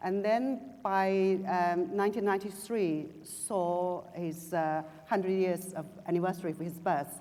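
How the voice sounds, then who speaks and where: Speaking at a fairly slow pace with a Chinese accent, the woman has a medium pitch, a dark, mellow tone and ordinary pitch variation. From China. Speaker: writer and journalist. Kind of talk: panel discussion. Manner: halting, many fillers and restarts.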